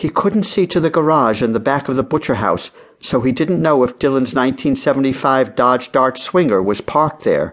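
In a normal speaking voice, a man with a fairly high pitch talks at a moderate pace with hardly any pauses, ordinary pitch variation and very even loudness against a quiet background. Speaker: audiobook narrator. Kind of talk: dramatic audiobook narration of a children's mystery. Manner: suspenseful, hushed and building tension.

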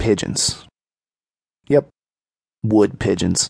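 A man mumbles in a put-on character voice with a fairly low pitch. The sound is dry and close, with no echo. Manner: mumbling to himself, unsure.

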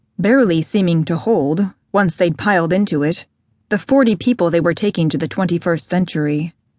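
With an ordinary speaking voice, a woman talks at a moderate pace using lively intonation. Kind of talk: audiobook narration. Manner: smooth, measured, steady storytelling pace.

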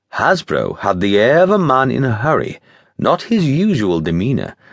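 Against a quiet background, a man speaks in a dramatic tone at a moderate pace, with very wide pitch swings. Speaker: audiobook narrator. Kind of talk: scripted audiobook narration of a Victorian-era adventure novella, read in first person. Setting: studio. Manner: dramatic, measured storyteller's pacing with vivid, period-flavored delivery.

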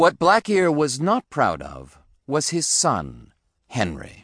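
A man's voice moves through very wide pitch swings. The sound is dry and close with no echo, over a quiet background. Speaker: audiobook narrator. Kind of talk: dramatic storybook narration with gruff pirate character voices. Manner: animated.

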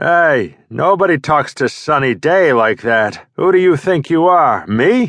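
This put-on character voice is gravelly, with a Brooklyn accent and very wide pitch swings at a fairly slow pace. The background is quiet. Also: man, fairly high pitch for a man. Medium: read story.

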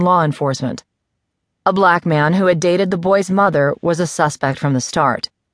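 Against a quiet background, a woman with an ordinary speaking voice talks at a moderate pace, her pitch fairly low with ordinary pitch variation. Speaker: audiobook narrator. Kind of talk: audiobook reading of a newspaper article, scripted news narration. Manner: measured, even, formal news-reader pacing; somber, serious tone for a grim crime story.

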